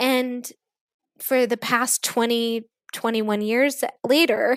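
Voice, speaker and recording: A woman's high-pitched voice at a very slow pace, with fairly even intonation and a dry, close sound with no echo. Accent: American. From US Midwest (Kansas), partly East Africa. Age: 40s. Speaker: teacher. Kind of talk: interview.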